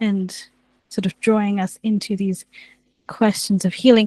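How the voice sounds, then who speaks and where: A woman with a medium pitch and a dark, mellow, somewhat breathy tone speaks at a fairly slow pace in a monotone, flat intonation, with a dry, close sound and no echo. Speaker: theologian. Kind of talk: reflective talk to live audience. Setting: room with live audience, also streamed online. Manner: halting, repeats words.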